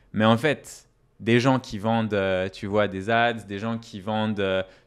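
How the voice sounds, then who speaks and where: Fairly low male voice, very clean recording, silent background. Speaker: startup CEO. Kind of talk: casual interview chat. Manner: animated.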